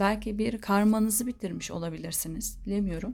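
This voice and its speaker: At a moderate pace and a mid-range pitch, this somewhat breathy woman talks with a normal amount of pitch movement. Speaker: tarot reader. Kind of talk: tarot reading monologue.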